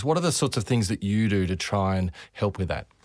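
In a very clean recording with a silent background, a man with an Australian accent speaks fairly quickly at a fairly low pitch. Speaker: podcast host doctor. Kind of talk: interview.

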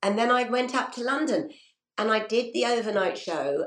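A woman with a fairly high pitch and vocal fry talks at a moderate pace. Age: 60s. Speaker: radio presenter. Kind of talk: interview.

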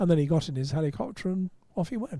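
A man speaks with lively intonation. His tone is dark, mellow, and somewhat breathy. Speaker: motorsport writer and broadcaster. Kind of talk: casual chat.

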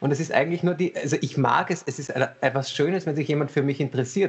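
A man talks at a fairly quick pace with a fairly high pitch. He has a normal speaking voice. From Vienna, Austria. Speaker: cabaret comedian and surgeon. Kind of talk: casual chat. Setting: video call.

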